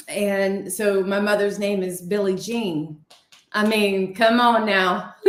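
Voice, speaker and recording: Very slowly, a woman with a Southern accent speaks at a medium pitch. Her intonation is monotone and flat, with audible room echo around her. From Ohio, raised around Kentucky family. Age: 40s. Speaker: paranormal show co-host. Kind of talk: casual chat. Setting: live stream video call.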